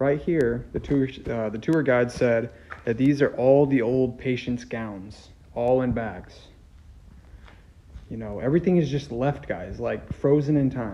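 This man speaks at a fairly slow pace with ordinary pitch variation. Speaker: urban explorer vlogger. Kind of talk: casual vlog chat. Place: hall. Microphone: phone near.

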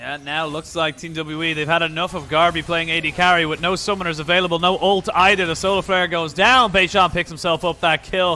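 Animated and high-pitched, a man talks at a fairly quick pace with hardly any pauses. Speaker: esports commentator. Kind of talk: live esports commentary. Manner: animated, fast play-by-play delivery; excitable, with exclamations and laughter.

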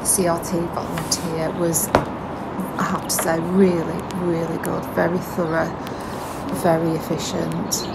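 Loud background noise runs throughout. The pace is fairly slow. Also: woman. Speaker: narrowboat vlogger. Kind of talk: casual vlog chat. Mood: relaxed, positive. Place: boat.

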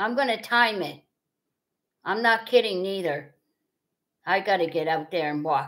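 A woman with an American accent speaks at a fairly slow pace with very wide pitch swings and a bright, sharp tone over a quiet background. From US Midwest, Wisconsin (Fond du Lac); Wisconsin. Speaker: livestream host; live streamer. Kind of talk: casual chat. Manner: repetitive. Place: home room. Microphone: webcam.

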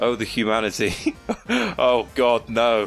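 Medium-pitched man with music in the background. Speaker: gaming commentator. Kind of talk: live gameplay commentary. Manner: excitable.

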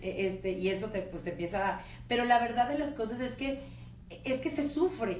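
With lively intonation, a woman speaks over light background noise, and the room echo is audible. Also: fairly high pitch for a woman, moderate pace. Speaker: radio host. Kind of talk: radio interview questions. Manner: chatty, animated. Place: studio.

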